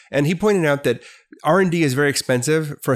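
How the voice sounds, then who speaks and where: A man speaks with ordinary pitch variation. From US Midwest (Milwaukee, Wisconsin). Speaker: business professor. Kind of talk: casual interview.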